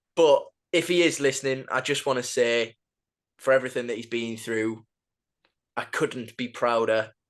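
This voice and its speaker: Over a quiet background, a man with a medium-pitched voice speaks in a Geordie accent. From northern England, Newcastle. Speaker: football podcast host. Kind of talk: podcast chat. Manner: halting.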